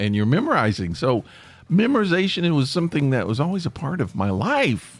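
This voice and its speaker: With music in the background, a man with a Tennessee accent talks at a fairly quick pace, his pitch swinging very widely. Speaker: podcast host, former stage actor and stand-up comic. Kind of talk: casual podcast talk.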